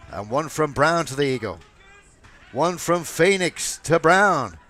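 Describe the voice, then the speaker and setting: There is noticeable background noise as a man with an American accent talks at a very slow pace. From US South, Georgia. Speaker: wrestling commentator. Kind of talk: live commentary. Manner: animated.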